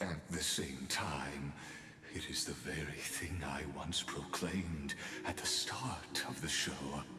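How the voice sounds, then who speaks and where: A man's theatrical, breathy put-on character voice at a fairly slow pace, with music in the background. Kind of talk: villain monologue. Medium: video game. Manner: grandiose, theatrical.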